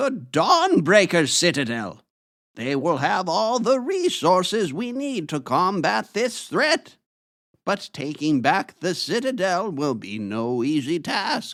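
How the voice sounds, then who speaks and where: In a put-on character voice pitched high for a man, a man talks at a fairly slow pace with very wide pitch swings, on a very clean recording against a silent background. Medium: audio drama. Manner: solemn, authoritative.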